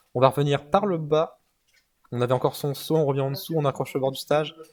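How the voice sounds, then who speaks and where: The speaker is a man with a fairly high pitch, talking at a fairly quick pace. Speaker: esports commentator. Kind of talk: live commentary. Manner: fast; animated.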